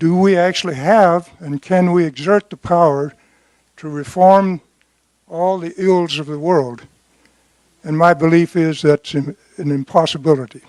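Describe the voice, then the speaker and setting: The speaker has an American accent and talks at a fairly slow pace with long, frequent pauses. Intonation stays fairly even while loudness swings a lot, in a dry, close sound with no echo. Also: man, high pitch for a man. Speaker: war veteran. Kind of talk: question at a town hall.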